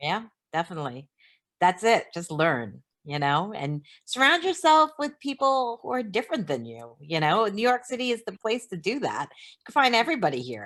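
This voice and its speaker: On a very clean recording with a silent background, the voice moves at a moderate pace with very wide pitch swings and big swings in loudness. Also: woman, medium pitch for a woman. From Canada. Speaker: film producer. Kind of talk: casual chat.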